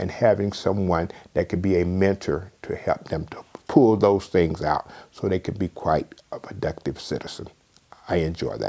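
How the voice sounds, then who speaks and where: With a Southern US accent, a man speaks at a moderate pace in a very deep, low pitch and a dark, mellow tone. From southwest Georgia, USA. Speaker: retired fraternity elder. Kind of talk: interview answer.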